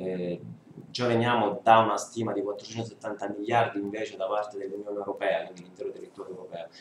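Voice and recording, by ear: A fairly quick pace with little pitch movement. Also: man, fairly low pitch for a man.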